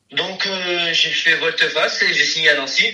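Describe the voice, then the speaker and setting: There is audible room echo around the voice. A man speaks at a fairly slow pace. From south-west France, Landes. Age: 20s. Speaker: professional footballer. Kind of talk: interview. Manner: halting, many fillers and repetitions.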